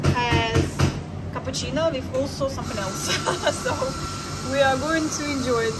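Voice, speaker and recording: There is loud background noise. A woman is speaking. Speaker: travel vlogger. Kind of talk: casual vlog chat. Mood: cheerful, relaxed. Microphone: phone near.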